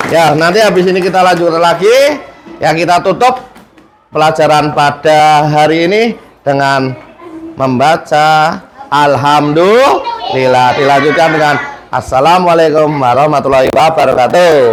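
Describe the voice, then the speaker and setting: With a strong Central Javanese accent, the speaker talks at a fairly slow pace in an animated tone, with ordinary pitch variation, very even loudness and audible room echo. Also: man, fairly high pitch for a man. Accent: strong Tegal Javanese (ngapak, medok). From Indonesia, Tegal (Central Java). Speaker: teacher. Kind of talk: classroom lesson. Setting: classroom.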